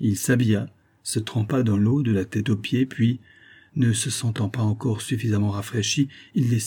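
The voice is a natural reading voice, its intonation fairly even.

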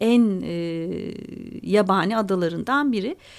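A woman with an ordinary speaking voice talks at a fairly slow pace, her medium pitch carried by lively intonation. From Istanbul, Turkey. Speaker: author and journalist. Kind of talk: radio interview.

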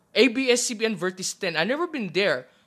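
A man's high-pitched, raised and projected voice with a bright, sharp tone. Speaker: wrestling podcast guest. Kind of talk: casual chat.

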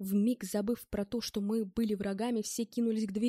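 Reading without strain, the voice keeps its intonation fairly level.

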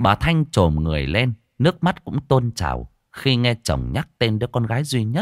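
The speaker reads in a natural voice while the background stays quiet.

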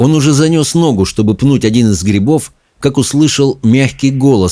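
Quiet background behind plain reading aloud

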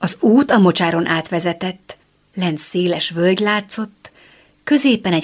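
Someone is reading aloud in a natural voice while the pitch varies in an ordinary way.

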